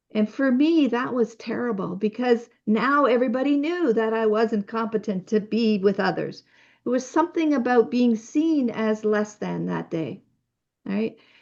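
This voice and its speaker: Against a quiet background, a woman speaks at a moderate pace with lively intonation. Her pitch is fairly high, and she has a plain, everyday voice. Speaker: physician and author speaking on self-care. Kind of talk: online workshop talk.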